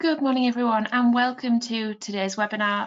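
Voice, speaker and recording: With a British accent, a woman is talking. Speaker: webinar host. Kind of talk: webinar presentation. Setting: online webinar.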